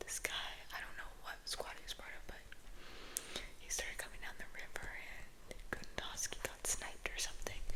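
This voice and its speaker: A woman whispers at a moderate pace while noticeable background noise can be heard. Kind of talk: casual talk to camera, ASMR gameplay commentary. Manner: soft, whispering ASMR delivery.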